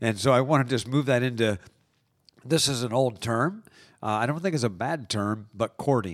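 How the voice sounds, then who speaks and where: Medium pitch from a man at a moderate pace, a plain, everyday voice with ordinary pitch variation, on a very clean recording with a silent background. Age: 60s. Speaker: coach, host's husband. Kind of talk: casual conversation. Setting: studio.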